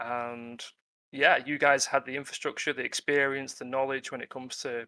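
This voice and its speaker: The voice carries a strong British accent. Its tone is bright and sharp, its intonation monotone and flat. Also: man. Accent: British, self-described as strong. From UK. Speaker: freelance tabletop game writer. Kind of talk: casual interview on a live webinar. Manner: hesitant, many fillers.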